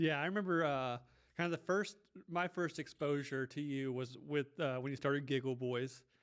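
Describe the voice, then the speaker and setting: Here is a man with a plain, everyday voice. His pitch is fairly high, with ordinary variation. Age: 30s. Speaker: podcast host. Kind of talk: casual chat.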